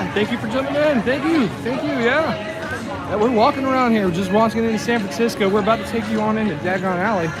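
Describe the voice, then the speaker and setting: A high-pitched man with an American accent at a very fast pace, with music in the background and audible room echo. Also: lively intonation. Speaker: live-stream vlogger. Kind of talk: live stream walking tour. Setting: outdoors at a theme park. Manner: casual, rambling.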